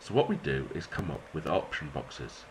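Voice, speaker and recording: In a British accent, a man speaks with a very deep, low pitch. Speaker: maths teacher. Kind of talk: educational tutorial.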